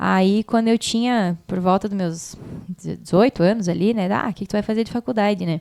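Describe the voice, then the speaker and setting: In a normal speaking voice, a woman talks at a moderate pace and medium pitch, with a dry, close sound and no echo. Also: ordinary pitch variation. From southern Brazil, Passo Fundo (Rio Grande do Sul). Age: 30s. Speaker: singer and music school owner. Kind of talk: interview.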